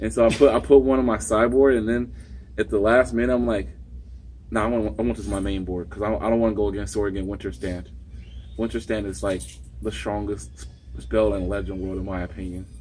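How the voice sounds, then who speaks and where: A man with a very deep, low pitch and vocal fry talks at a very fast pace, his pitch swinging very widely. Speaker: card game player. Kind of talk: casual chat. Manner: halting.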